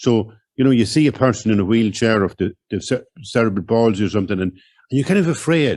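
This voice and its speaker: A man with an Irish accent, medium-pitched with a dark, mellow tone and ordinary pitch variation, at a fairly quick pace on a very clean recording with a silent background. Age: 60s. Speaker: writer. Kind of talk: public conversation.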